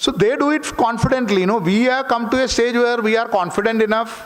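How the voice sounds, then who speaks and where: A man speaks with a Keralan accent. Noticeable background noise and audible room echo fill the recording. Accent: Malayali Indian English. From Kerala, India (rural village). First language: Malayalam. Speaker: author. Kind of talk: seminar talk. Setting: auditorium with audience.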